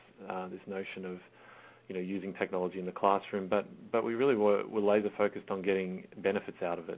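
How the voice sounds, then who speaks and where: A man with an Australian accent talks very fast in a fairly low pitch, his intonation monotone and flat. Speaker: school IT systems manager. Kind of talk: webinar presentation. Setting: online webinar call. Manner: halting, many fillers.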